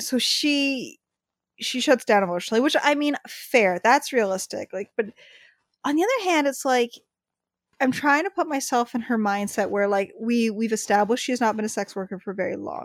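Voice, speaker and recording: A woman with an ordinary speaking voice and a fairly high pitch talks at a moderate pace with lively intonation, the sound dry and close with no echo. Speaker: podcast co-host. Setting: home basement recording.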